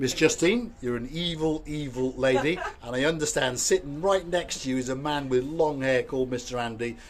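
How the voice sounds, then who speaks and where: A man speaks at a moderate pace in a fairly high voice with ordinary pitch variation. Noticeable background noise can be heard. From Wales. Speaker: YouTube vlogger. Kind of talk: casual chat. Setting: outdoors.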